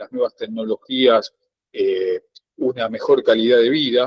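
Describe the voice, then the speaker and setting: A man's voice, dry and close with no echo. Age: 60s. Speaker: student. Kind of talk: class discussion. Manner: halting, many fillers.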